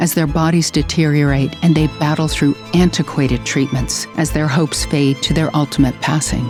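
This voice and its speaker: A woman's very deep, low voice with music in the background. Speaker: voice over narrator of a public service announcement. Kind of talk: PSA narration.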